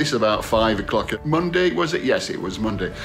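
A man talks at a fairly quick pace with faint music in the background. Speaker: vlogger. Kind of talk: casual vlog chat. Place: home room. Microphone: phone near.

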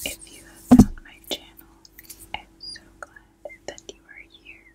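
The voice is a whisper. Its tone is gentle. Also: woman. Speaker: ASMR creator. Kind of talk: ASMR unboxing, whispered talk to camera. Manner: whispered, gentle. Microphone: studio mic.

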